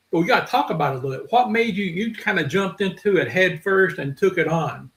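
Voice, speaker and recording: Here a man with a Southern US accent talks at a very fast pace. His high voice carries lively intonation. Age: 60s. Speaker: podcast host. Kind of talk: casual chat.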